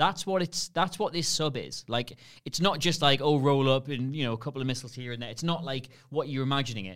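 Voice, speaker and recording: Talking at a very fast pace, a man with a Geordie accent uses a fairly high pitch and ordinary pitch variation. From Newcastle, northern England. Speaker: podcast guest, former film website colleague. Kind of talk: casual chat.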